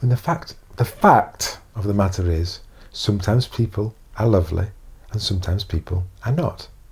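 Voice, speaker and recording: A man with a somewhat breathy voice talks at a moderate pace with ordinary pitch variation. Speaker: self-help coach. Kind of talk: inspirational talk to camera.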